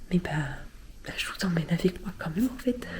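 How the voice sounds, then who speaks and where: A woman whispers at a moderate pace. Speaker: vlogger. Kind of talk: casual vlog chat.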